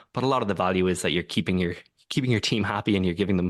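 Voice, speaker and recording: With an Irish accent, a man talks at a very fast pace in a very deep, low pitch, his intonation fairly even over a quiet background. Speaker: tech company co-founder and executive. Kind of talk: podcast interview. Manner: hesitant, many fillers.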